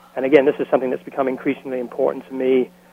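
With an American accent, a man talks while noticeable background noise carries on. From London, England (East End). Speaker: educator. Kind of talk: interview. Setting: phone call.

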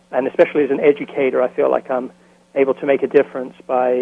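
At a fairly quick pace, a man with an American accent speaks at medium pitch. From London, England (East End). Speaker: educator. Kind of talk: interview. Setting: phone call.

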